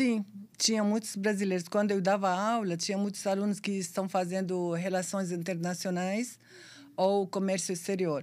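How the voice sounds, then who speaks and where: In a very clean recording with a silent background, a woman with an Arabic accent speaks at a moderate pace and medium pitch, her intonation monotone and flat and her loudness very even. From Syria. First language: Arabic (speaking Portuguese). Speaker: sworn translator and pharmacist. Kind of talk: podcast interview.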